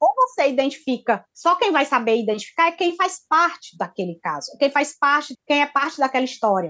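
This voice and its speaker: A woman projects her high voice at a moderate pace, with hardly any pauses. Her tone is bright and sharp, and her pitch swings very widely. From Brazilian Northeast (Ceará, Pernambuco, Piauí). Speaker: journalist. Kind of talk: interview. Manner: halting.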